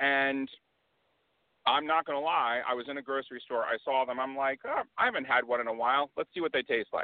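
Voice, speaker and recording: A man speaks in a plain, everyday voice with an American accent. His pitch is fairly high, and his intonation stays fairly even. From US South. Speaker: IT worker. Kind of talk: interview.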